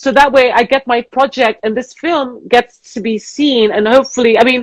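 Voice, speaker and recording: A woman with a British accent speaks at a moderate pace in a fairly high pitch. Her pitch variation is ordinary, and the sound is dry and close with no echo. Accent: proper British. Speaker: casting director. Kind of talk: interview. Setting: live Instagram video call.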